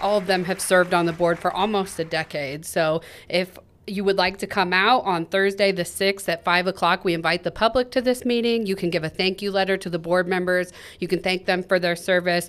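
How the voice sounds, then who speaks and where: Talking at a fairly quick pace, a woman with a Midwestern US accent holds a medium pitch and fairly even intonation. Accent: US Midwest. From Kansas (Topeka). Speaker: school district communications podcast co-host. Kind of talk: casual chat.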